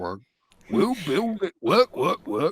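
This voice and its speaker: A man puts on a character voice. It is gruff and high-pitched. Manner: funny, gruff, cartoonish.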